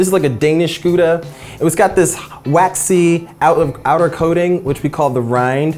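A man talks with normal pitch movement while music plays faintly behind him. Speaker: cooking show host. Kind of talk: tutorial. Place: kitchen. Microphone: lapel.

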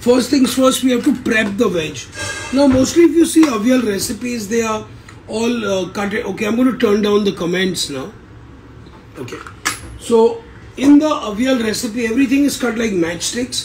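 Over background music, a man with an extremely high pitch speaks at a moderate pace, pausing long and often. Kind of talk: cooking tutorial. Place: kitchen. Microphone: phone near.

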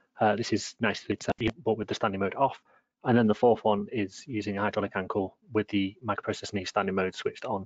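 Very fast speech in a flat monotone. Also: man, fairly low pitch for a man. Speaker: research scientist. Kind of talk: webinar presentation. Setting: online webinar.

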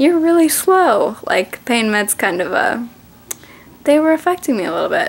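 This woman's voice moves through very wide pitch swings. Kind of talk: casual vlog chat.

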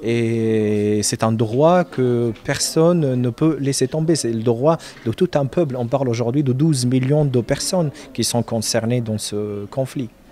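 A man speaks in a dark, mellow tone at medium pitch. His pace is fairly slow, and his pitch varies in an ordinary way.

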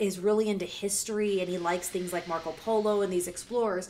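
A woman talks in an American accent with monotone, flat intonation. Light background noise sits behind her. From US South, Savannah, Georgia. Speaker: music reaction YouTuber, former radio host. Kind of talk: casual vlog monologue. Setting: home video recording. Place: home room. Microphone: studio mic.

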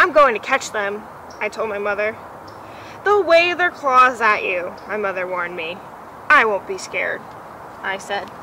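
Soft-spoken and fairly high-pitched, a woman speaks in a warm, cheerful tone with very wide pitch swings and big swings in loudness. Long, frequent pauses break up her speech over light background noise. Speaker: museum educator. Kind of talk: children's picture-book read-aloud, gentle storytelling. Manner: soft, soothing storyteller cadence with playful child and mother voices; warm, unhurried build to a cheerful hushed ending. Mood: gentle, warm storytelling. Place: garden.

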